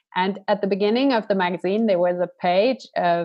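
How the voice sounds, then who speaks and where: In a plain, everyday voice, a woman with a medium pitch and ordinary pitch variation keeps a moderate pace. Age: 40s. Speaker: coach and event organizer. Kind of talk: interview.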